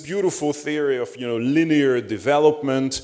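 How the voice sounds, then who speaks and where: A moderate pace against a quiet background. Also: man. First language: Hungarian. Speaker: panelist, academic; panelist. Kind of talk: conference panel talk. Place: hall. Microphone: handheld.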